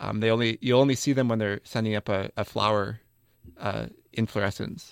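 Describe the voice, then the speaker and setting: A man's ordinary speaking voice with an American accent, medium in pitch, at a moderate pace with fairly even intonation, in a dry, close sound with no echo. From US Midwest, Wisconsin. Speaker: graduate student botanist. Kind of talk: interview.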